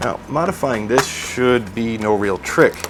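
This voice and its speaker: With music in the background, a man with a fairly low pitch and an American accent talks at a fairly slow pace. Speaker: tech product reviewer. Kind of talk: unboxing and product review. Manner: casual, many fillers.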